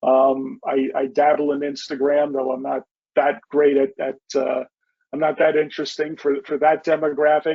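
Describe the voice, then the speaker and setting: With monotone, flat intonation, a man talks at a moderate pace and a fairly high pitch. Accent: Bronx. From New York City, the Bronx. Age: 50s. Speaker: novelist. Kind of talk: interview.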